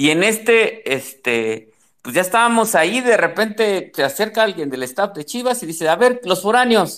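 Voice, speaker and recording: On a very clean recording with a silent background, a high-pitched man with a Mexico City accent talks at a moderate pace with very wide pitch swings. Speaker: football fan. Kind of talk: casual chat.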